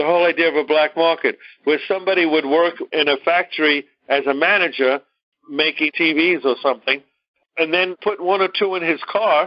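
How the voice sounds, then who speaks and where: In a Brooklyn accent, a man speaks at a high pitch and a fairly quick pace. His intonation is fairly even and his loudness very even. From New York, Brooklyn. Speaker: teacher. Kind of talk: lecture.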